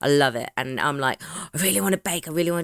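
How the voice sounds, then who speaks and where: A woman with a British accent and a very deep, low pitch speaks at a very fast pace in an animated tone with ordinary pitch variation, in a dry, close sound with no echo. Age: 30s. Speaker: true crime podcast co-host. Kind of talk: casual chat. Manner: animated, laughing often.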